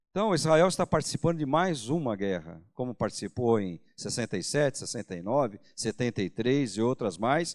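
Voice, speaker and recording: On a very clean recording with a silent background, a man talks at a moderate pace in a medium pitch with lively intonation. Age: 60s. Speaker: pastor. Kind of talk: sermon. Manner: casual, conversational with hesitations.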